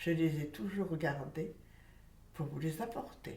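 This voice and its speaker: A woman with a fairly low voice is heard amid noticeable background noise and audible room echo. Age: 90s. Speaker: elderly witness recounting childhood memories. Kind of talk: testimony.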